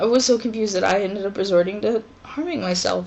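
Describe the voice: This woman speaks at a medium pitch with ordinary pitch variation and some vocal fry.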